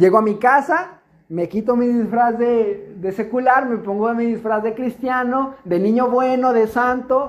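A man speaks at an extremely high pitch. His pace is fairly slow. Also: ordinary pitch variation, hardly any pauses. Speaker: youth preacher. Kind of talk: sermon. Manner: halting, many fillers.

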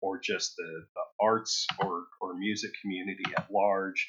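An American accent on a man's voice. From Ohio, Toledo area. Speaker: guitar effects pedal builder. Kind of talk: casual interview.

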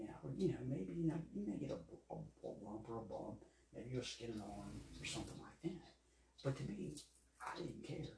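With an American accent, a man speaks at a moderate pace amid audible room echo. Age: 50s. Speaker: sports podcast host. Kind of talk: solo podcast commentary. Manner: halting, many fillers and repetitions.

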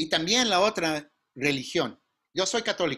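The man's voice has a bright, sharp tone. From California, Mountain View (Mexican family). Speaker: workshop instructor, business consultant. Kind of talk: online workshop lecture. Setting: video call.

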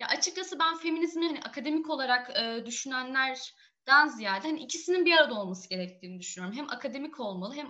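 A woman talks at a very fast pace in a raised, projected voice. Her high pitch moves in very wide swings. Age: 20s. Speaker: feminist activist and graduate student. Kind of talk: interview.

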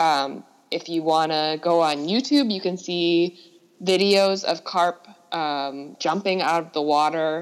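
In an American accent, a woman speaks at a very slow pace with a fairly low pitch, ordinary pitch variation and big swings in loudness. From Minnesota. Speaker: environmental policy coordinator. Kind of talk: interview. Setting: remote call.

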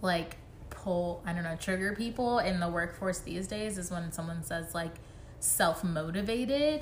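At a moderate pace, a woman speaks in a normal speaking voice, her pitch fairly low. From South Florida (Miami), born in Jamaica. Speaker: podcast co-host. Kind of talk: casual chat.

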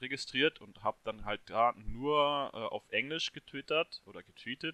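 A man's voice with a bright, sharp tone. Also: dry, close sound with no echo. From Hesse, near Marburg. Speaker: football fan, social media account runner. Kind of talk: casual chat.

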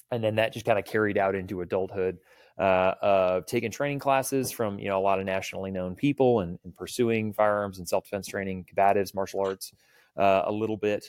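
With an American accent, a man with a normal speaking voice talks at a fairly quick pace, with a fairly low pitch and fairly even intonation, in a very clean recording with a silent background. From Texas, Clear Lake near Houston. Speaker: firearms and self-defense instructor. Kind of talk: casual interview chat.

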